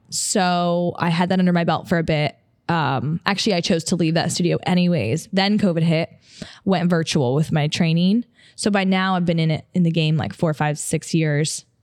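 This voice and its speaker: A woman with an ordinary speaking voice talks at a moderate pace in an American accent. Her fairly low pitch has ordinary variation, and her loudness stays very even. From upstate New York. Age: 20s. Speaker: podcast host, personal trainer and model. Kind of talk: casual solo podcast talk. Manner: casual, filler-heavy.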